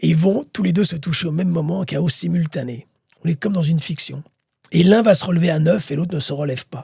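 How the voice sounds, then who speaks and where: Speaking at a very fast pace, a man uses a fairly high pitch and a dark, mellow tone. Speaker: boxing commentator. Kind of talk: interview. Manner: animated.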